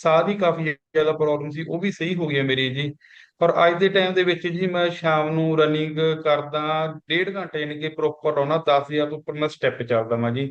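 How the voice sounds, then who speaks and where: An ordinary speaking voice from a man, fairly high in pitch, at a moderate pace with fairly even intonation. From Punjab, India (near Ludhiana). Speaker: customer giving testimonial. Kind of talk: testimony.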